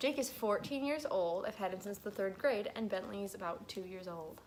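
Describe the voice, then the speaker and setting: A woman with a Midwestern American accent speaks at a medium pitch. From Michigan, Grand Rapids. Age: 20s. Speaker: vlogger. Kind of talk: casual vlog Q&A.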